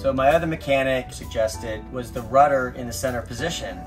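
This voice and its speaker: A man at a moderate pace, with clear music in the background. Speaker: boat owner vlogger. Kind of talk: casual vlog chat. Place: boat. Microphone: phone near.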